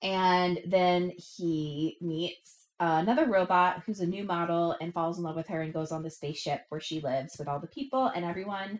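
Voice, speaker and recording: A woman talks in a normal speaking voice at a fairly low pitch and a moderate pace, with ordinary pitch variation and hardly any pauses. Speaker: podcast host. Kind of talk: casual chat.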